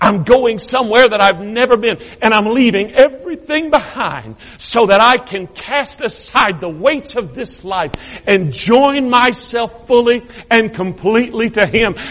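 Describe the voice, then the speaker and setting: A man speaks at an extremely high pitch in an animated tone. Noticeable background noise sits behind him. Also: ordinary pitch variation, fairly slow pace. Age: 50s. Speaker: bishop, guest preacher. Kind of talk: sermon. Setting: church service.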